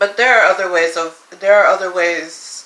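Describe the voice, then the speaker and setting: Noticeable background noise runs under the recording. A woman speaks at a moderate pace and a medium pitch, with fairly even intonation. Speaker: YouTuber. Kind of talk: casual vlog monologue.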